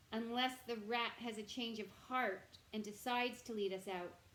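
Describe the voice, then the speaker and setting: Using a put-on character voice, a woman talks at a moderate pace with a fairly high pitch and monotone, flat intonation. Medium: read story. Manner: gentle.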